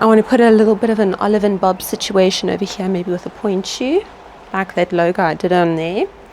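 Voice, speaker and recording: Against noticeable background noise, a woman of medium pitch speaks at a very fast pace. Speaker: small business owner and sewing vlogger. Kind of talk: casual vlog. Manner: animated.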